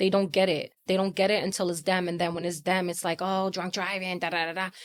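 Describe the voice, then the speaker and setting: Her pitch is medium for a woman, and her intonation is monotone and flat. She talks at a very fast pace. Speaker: bereaved mother and road-safety advocate. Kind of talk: emotional interview testimony. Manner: loud; blunt, raw and emphatic.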